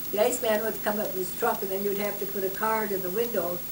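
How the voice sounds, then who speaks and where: Over noticeable background noise, a woman with a medium pitch speaks very fast in a monotone, flat intonation. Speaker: grandmother telling her life story. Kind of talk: interview answer.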